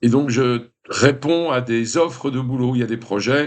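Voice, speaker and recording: Medium in pitch, a man's voice shows ordinary pitch variation. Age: 60s. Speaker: vlogger, retired film set designer. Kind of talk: casual vlog monologue. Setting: indoors in his apartment. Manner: hesitant with many fillers.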